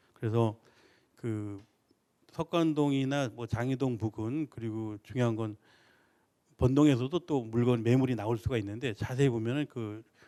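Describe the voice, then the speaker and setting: A man with a dark, mellow tone speaks at a medium pitch and moderate pace. He takes long, frequent pauses, in a dry, close sound with no echo. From Seoul. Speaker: real estate expert. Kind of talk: expert Q&A answer.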